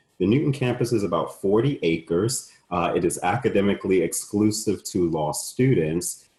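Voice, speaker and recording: A man's fairly low, somewhat breathy voice has a dark, mellow tone and hardly any pauses. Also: lively intonation, moderate pace. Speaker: law school admissions dean. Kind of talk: webinar Q&A, conversational. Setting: online webinar.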